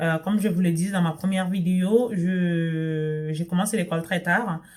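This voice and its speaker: A woman talks at a fairly slow pace in a somewhat breathy voice. Her pitch is fairly low, and her intonation stays fairly even. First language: not French (speaking French). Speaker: sewing and lifestyle vlogger. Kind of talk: casual vlog talk to camera. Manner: hesitant, many fillers and restarts.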